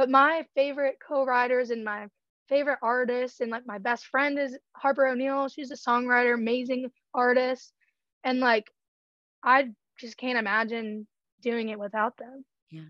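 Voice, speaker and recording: With an American accent and a high pitch, a woman talks at a moderate pace with fairly even intonation, big swings in loudness, and long, frequent pauses. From Georgia, US. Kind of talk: interview. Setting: remote call.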